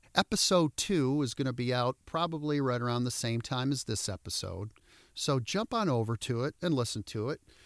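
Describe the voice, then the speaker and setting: Heard in a very clean recording with a silent background and a dry, close sound with no echo, a man with a Midwestern American accent and medium pitch speaks at a moderate pace with lively intonation. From Michigan (Detroit suburbs). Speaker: motivational speaker and podcast host. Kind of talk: podcast monologue. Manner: animated.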